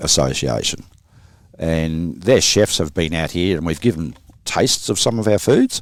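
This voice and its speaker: With an Australian accent, a man speaks at a moderate pace in a very deep, low voice with vocal fry and lively intonation, on a very clean recording with a silent background. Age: 60s. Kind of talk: podcast interview.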